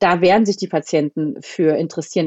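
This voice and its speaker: A woman has an unremarkable speaking voice with a fairly low pitch. She talks at a fairly quick pace with ordinary pitch variation. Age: 30s. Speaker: family doctor. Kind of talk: interview. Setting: phone call.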